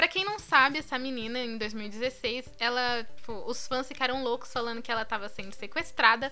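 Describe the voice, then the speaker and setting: A woman at high pitch with ordinary pitch variation, a moderate pace and hardly any pauses. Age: 20s. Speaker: podcast co-host. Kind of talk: casual chat.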